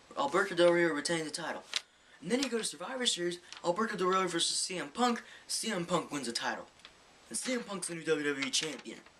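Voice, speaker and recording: A man mumbling in a high, put-on character voice at a very fast pace. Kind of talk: sports-commentary recap. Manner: fast, slightly mumbled recap.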